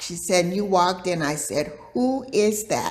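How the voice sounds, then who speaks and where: Speaking very slowly, a woman uses ordinary pitch variation. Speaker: yoga teacher. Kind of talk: interview answer.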